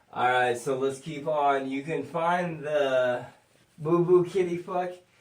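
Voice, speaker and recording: A man speaks at a fairly slow pace with a fairly high pitch and ordinary pitch variation, with noticeable background noise and audible room echo. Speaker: podcast host. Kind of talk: casual chat. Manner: slurred.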